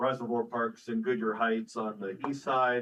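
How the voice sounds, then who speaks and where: A man speaks at medium pitch and a moderate pace. His intonation is monotone and flat. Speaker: city official. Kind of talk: council meeting discussion. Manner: loud.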